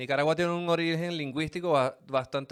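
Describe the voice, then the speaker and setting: A man with a Venezuelan accent speaks in an animated tone at a moderate pace. The recording is very clean, with a silent background. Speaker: podcast host. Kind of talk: casual podcast monologue. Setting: studio. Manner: animated, colloquial.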